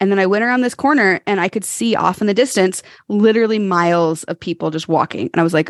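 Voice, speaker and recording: Speaking at a fairly quick pace, a woman uses an animated tone with ordinary pitch variation. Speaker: cycling advocate and charity leader. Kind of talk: casual chat.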